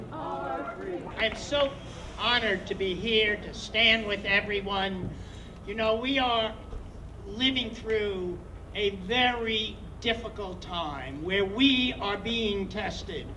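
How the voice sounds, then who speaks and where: Through light background noise, a man uses a raised, projected voice at a very slow pace. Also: ordinary pitch variation. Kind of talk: rally speech. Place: street. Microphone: handheld.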